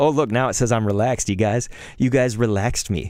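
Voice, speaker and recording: A medium-pitched man talks at a fairly quick pace. His tone is animated, with ordinary pitch variation. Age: 30s. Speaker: gaming streamer. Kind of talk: casual live stream chat.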